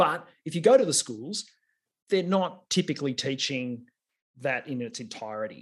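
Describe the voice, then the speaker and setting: A man with an Australian accent, fairly high in pitch for a man, with very wide pitch swings at a moderate pace. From Australia, regional Victoria. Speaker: technology executive and engineer. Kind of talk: interview.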